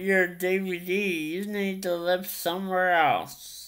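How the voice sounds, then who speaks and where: A woman speaks at a very slow pace against a quiet background. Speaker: YouTube vlogger. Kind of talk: casual vlog monologue. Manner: halting, filler-heavy. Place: home room. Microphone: webcam.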